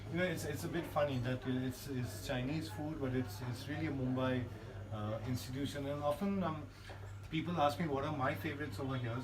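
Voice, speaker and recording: A man at medium pitch with ordinary pitch variation and a fairly quick pace, over noticeable background noise. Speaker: food blogger. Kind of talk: casual talk to camera.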